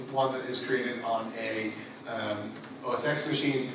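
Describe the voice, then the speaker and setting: A man speaks in a room with audible echo and noticeable background noise. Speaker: conference presenter. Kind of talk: technical talk. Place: hall. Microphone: camera far.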